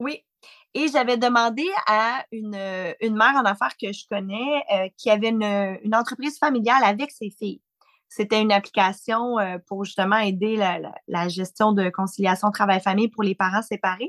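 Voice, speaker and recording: A woman uses a normal speaking voice at a fairly high pitch, moving at a moderate pace with ordinary pitch variation in a dry, close sound with no echo. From Quebec. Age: 40s. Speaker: founder of a business mothers' network. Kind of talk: interview.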